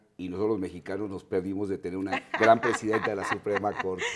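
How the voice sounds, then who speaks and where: A man speaks with a fairly low pitch. The background is quiet. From Mexico. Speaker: TV interviewer. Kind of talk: interview. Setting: TV studio. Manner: halting. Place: studio. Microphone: lapel.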